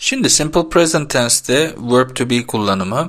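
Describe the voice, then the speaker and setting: A normal speaking voice, moderate in pace, its intonation lively. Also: man. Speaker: English teacher. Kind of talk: tutorial.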